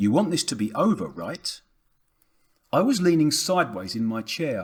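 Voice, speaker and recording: With vocal fry and a fairly high pitch that swings very widely, a man talks at a moderate pace. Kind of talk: audiobook reading of a novel.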